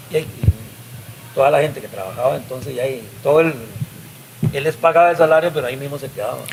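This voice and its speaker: A man's fairly high voice at a very fast pace, broken by long, frequent pauses, with ordinary pitch variation and noticeable background noise. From Costa Rica, Nicoya (Guanacaste). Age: 60s. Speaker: musician. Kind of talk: interview storytelling.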